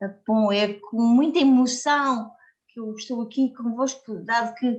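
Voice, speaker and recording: Pitched fairly high, a woman speaks in a monotone, flat way at a fairly slow pace. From Portugal. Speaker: community worker and book contributor. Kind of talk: speech at a book launch. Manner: halting.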